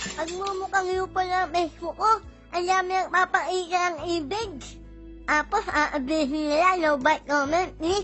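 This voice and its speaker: Over clear background music, a put-on character voice mumbles at a moderate pace, nasal and extremely high-pitched. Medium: fan dub. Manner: mumbling, mispronouncing words.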